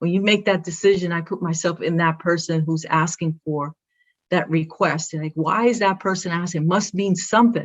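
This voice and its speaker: With a Brooklyn accent, a woman talks in a fairly low pitch. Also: moderate pace. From Brooklyn, New York. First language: Spanish. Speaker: athletic director. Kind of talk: interview. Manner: animated.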